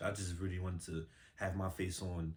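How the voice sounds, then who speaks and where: A man with an American accent speaks in a very deep, low pitch that is somewhat breathy. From Bronx, New York. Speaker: musician and model. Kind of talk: casual interview chat. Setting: studio. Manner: casual, many fillers.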